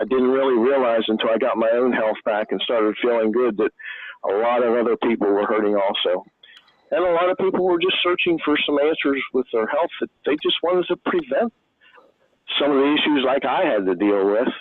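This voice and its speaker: At a fairly quick pace, a man speaks at a medium pitch with lively intonation. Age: 60s. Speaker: logger sharing testimony. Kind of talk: testimony. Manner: halting.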